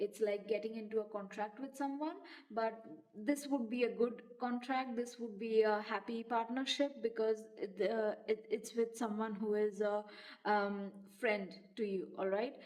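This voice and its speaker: Fairly slow, fairly even speech from a woman with a fairly high pitch. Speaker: tarot reader. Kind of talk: channeled tarot reading. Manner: hesitant, many fillers.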